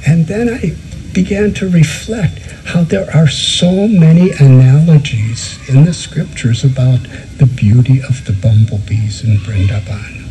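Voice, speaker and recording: Over music in the background, a man speaks at a fairly slow pace with very wide pitch swings. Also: medium pitch for a man. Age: 70s. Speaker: spiritual teacher. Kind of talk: spiritual discourse.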